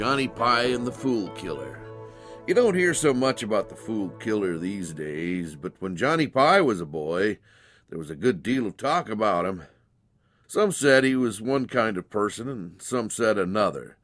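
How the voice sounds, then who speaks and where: Over music in the background, a man speaks in a fairly low pitch with very wide pitch swings. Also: moderate pace. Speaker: storyteller. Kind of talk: dramatized short story reading.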